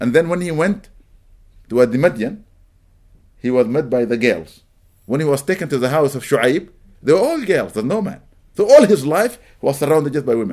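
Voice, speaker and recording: Talking at a fairly quick pace with lively intonation, a man with a fairly high pitch leaves long, frequent pauses. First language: Arabic. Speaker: imam. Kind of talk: religious lecture. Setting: mosque gathering.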